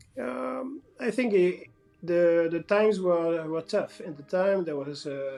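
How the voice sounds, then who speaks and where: Over background music, a man with a high pitch talks at a very slow pace with lively intonation. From France. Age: 40s. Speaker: company owner. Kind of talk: interview. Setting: call. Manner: halting.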